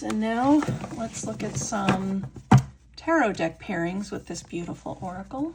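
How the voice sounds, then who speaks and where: Speaking at a fairly slow pace with lively intonation, a woman uses a medium pitch over noticeable background noise. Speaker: tarot content creator. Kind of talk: casual tutorial, showing cards.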